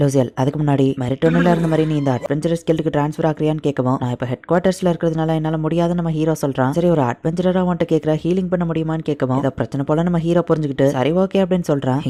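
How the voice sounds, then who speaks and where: A man's fairly high-pitched voice with fairly even intonation, a dry, close sound with no echo and noticeable background noise. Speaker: anime recap narrator. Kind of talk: anime story recap narration. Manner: casual, conversational.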